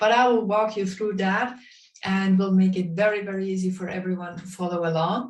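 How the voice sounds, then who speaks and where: Through audible room echo, a woman at medium pitch talks at a fairly quick pace with fairly even intonation. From Bavaria, Germany. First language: German (Bavarian dialect). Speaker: drawing instructor. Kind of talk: online workshop instruction. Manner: hesitant, many fillers.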